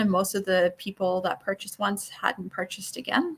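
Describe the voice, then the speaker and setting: A woman with a Newfoundland accent speaks at a very fast pace. Her pitch is medium. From Newfoundland, Canada. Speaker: network marketing coach. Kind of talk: online workshop lecture. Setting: live stream.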